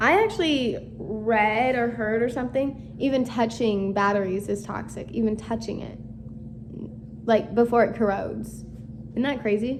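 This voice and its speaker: The voice moves at a moderate pace with fairly even intonation. Room echo is audible, and there is noticeable background noise. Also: woman. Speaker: book-reading YouTuber. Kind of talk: casual reading aloud with commentary. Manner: casual, filler-heavy.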